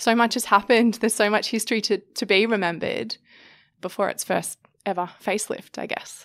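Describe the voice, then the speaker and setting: Fairly quick, fairly high speech from a woman with an Australian accent and fairly even intonation, in a very clean recording against a silent background. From Sydney, Australia. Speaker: photographer. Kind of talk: interview. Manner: casual, with many fillers.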